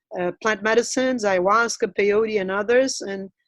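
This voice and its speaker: A woman speaks with a Brazilian Portuguese accent at a moderate pace. Her pitch is fairly high. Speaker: anthropologist. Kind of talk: webinar interview.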